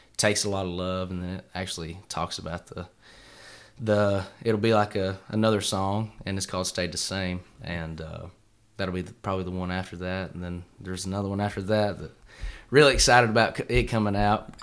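Speaking at a fairly quick pace, a man with a very deep, low voice shows big swings in loudness on a very clean recording with a silent background. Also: fairly even intonation. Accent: Appalachian. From East Tennessee. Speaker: country singer-songwriter. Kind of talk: casual interview.

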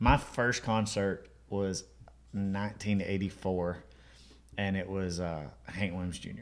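A man with an Alabama accent speaks very slowly in a fairly low voice, with fairly even intonation and long, frequent pauses. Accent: Southern US (Alabama). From Alabama, US South. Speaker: country musician. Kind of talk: casual chat.

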